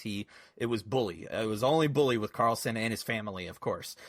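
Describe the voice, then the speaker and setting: A normal speaking voice with an American accent moves at a fairly quick pace with ordinary pitch variation, on a very clean recording with a silent background. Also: man. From US, Southern Maryland (Calvert County). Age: 30s. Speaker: game industry producer. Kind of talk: interview. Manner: casual, many fillers.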